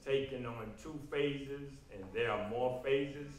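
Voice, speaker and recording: Noticeable background noise and audible room echo surround a man speaking at a fairly slow pace in a medium-pitched voice. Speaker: political candidate. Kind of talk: political forum answers.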